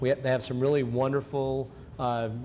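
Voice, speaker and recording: A man at a medium pitch speaks at a moderate pace with monotone, flat intonation while music plays in the background. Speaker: talk show host. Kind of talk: local TV interview show host.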